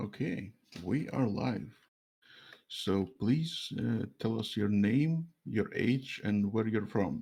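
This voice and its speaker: A man's fairly low, dark, mellow voice with a Russian accent, lively intonation and a very slow pace. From Latvia, Russian diaspora. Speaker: streamer interviewer. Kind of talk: interview. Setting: live stream call over mobile internet.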